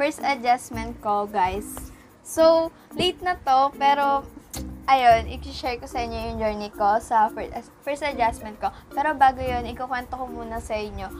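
Clear music sounds in the background. Over it, a woman talks at a fairly slow pace. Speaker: vlogger. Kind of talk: casual vlog chat. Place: home room. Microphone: phone near.

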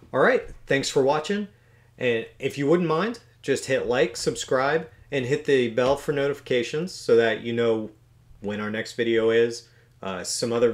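With a quiet background, a man's voice shows ordinary pitch variation and moves at a moderate pace. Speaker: beekeeper channel host. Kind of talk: casual vlog outro chat. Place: home room.

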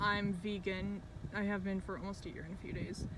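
Loud background noise surrounds a woman speaking at a fairly quick pace, the sound dry with no echo. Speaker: vegan activist vlogger. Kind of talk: emotional rant monologue. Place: car.

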